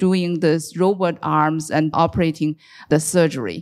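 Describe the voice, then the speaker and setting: An unremarkable speaking voice moves at a moderate pace over a very clean recording with a silent background. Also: woman. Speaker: university professor. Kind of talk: panel discussion.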